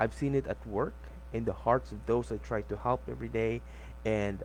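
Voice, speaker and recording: This man speaks with a non-native accent. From Philippines. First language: not English. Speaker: book reader. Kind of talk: audiobook reading.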